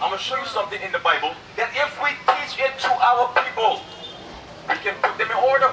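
Amid light background noise and audible room echo, a man in a raised, projected voice talks at a fairly quick pace with an extremely high pitch and lively intonation. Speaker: street preacher. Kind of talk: street preaching debate, argumentative. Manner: insistent, forceful, talks over others. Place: street.

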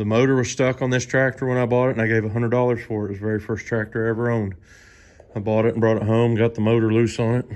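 A man speaks with monotone, flat intonation over a quiet background. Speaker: farmer showing his tractors. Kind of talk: casual vlog tour commentary. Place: garage. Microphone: phone near.

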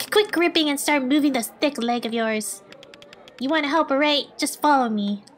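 A female-sounding voice puts on a gruff character voice, pitched high for a woman. She speaks at a moderate pace with music in the background. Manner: grumpy, impatient, gruff.

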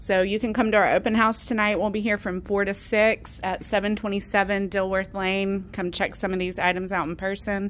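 Her intonation monotone and flat, a woman with a medium-pitched voice talks at a moderate pace with hardly any pauses. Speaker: auctioneer presenting gallery. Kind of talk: walkthrough sales pitch. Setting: in auction gallery, walking around. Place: shop. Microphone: phone near.

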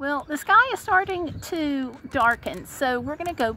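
A woman speaks with a dry sound that has no echo, against light background noise. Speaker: vlogger. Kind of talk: casual vlog chat. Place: car. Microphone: phone near.

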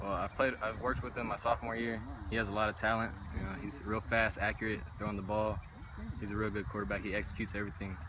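A man's fairly low-pitched voice at a very fast pace with ordinary pitch variation, dry with no echo, over noticeable background noise. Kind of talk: interview answer. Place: stadium. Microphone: phone near.

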